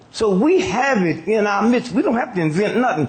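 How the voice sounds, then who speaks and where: An American accent with very wide pitch swings at a moderate pace. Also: man. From United States. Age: 80s+. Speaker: comedian and civil rights activist. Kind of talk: stand-up comedy speech.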